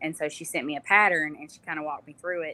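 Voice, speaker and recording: With a Southern US accent, a woman speaks at a very deep, low pitch in a bright, sharp tone. Her intonation is monotone and flat. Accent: Southern US, noticeable. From US South, North Alabama. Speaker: small business owner, home canner. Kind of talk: interview.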